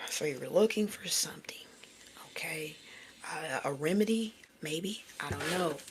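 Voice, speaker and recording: Noticeable background noise sits behind a woman with a fairly low pitch. She talks at a fairly slow pace with lively intonation and long, frequent pauses. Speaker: tarot reader. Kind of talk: live tarot reading. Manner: casual, conversational; stuttering at times.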